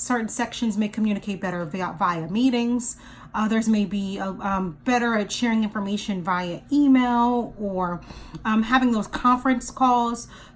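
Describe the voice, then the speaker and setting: This woman speaks at a moderate pace in a fairly high, somewhat breathy voice. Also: ordinary pitch variation. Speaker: life and career strategist. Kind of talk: career coaching talk to camera. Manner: conversational, explanatory, with filler words.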